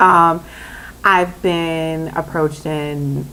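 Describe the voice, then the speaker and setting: With a Minnesota accent, a woman speaks at a fairly low pitch in a bright, sharp, animated tone. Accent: picked up Minnesota drawn-out O sounds. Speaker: vlogger. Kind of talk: casual vlog talk.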